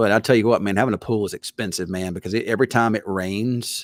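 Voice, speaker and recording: A man with a strong Southern US accent at a very fast pace, fairly low in pitch, in a very clean recording with a silent background. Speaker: TV weatherman. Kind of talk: casual chat. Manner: halting, repetitive.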